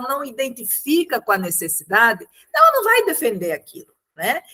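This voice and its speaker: A woman projects a raised voice with a bright, sharp tone and high pitch, keeping a moderate pace. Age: 60s. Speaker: meeting participant, community leader. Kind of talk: group discussion contribution.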